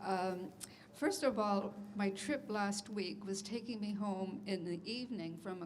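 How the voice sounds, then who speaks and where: At a fairly slow pace and with fairly even intonation, the voice comes through audible room echo and noticeable background noise. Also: woman. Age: 80s+. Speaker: transit service customer. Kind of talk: public comment. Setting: public meeting with audience. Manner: halting.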